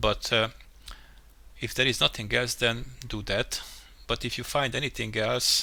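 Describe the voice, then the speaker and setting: A man with a non-native accent, moderate pace and long, frequent pauses. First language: not English. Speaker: game level mapper, tutorial youtuber. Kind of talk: tutorial. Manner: halting, many fillers and restarts.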